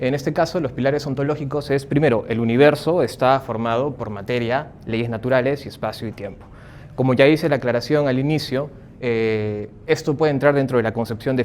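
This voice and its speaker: At a fairly quick pace, a man talks with fairly even intonation at a medium pitch. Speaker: psychologist and philosophy lecturer. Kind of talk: lecture. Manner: speaking up to project.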